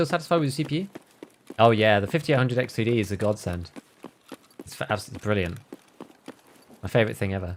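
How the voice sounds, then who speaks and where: A man's medium-pitched voice at a very fast pace, with lively intonation and long, frequent pauses. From England, West Midlands. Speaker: video game streamer. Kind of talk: casual livestream gaming commentary. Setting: livestream.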